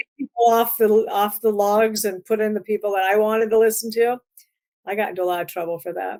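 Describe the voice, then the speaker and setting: A woman with a northern US accent, fairly high-pitched, talking very fast with fairly even intonation, in a dry, close recording with no echo. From Iowa, US Midwest. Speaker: music publicist. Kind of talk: casual interview chat.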